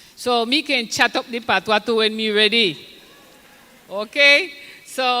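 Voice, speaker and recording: The speaker goes at a fairly slow pace with ordinary pitch variation. Noticeable background noise is present. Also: woman, fairly high pitch for a woman. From Colombia, San Andres island. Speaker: ambassador. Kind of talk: ceremony speech. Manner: halting.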